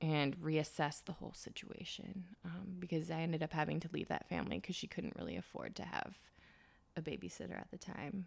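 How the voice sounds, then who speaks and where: Fairly low in pitch and touched with vocal fry, a woman speaks quickly-ish in an American accent with fairly even intonation. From US Midwest (Wisconsin). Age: 20s. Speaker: fashion stylist. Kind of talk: casual interview.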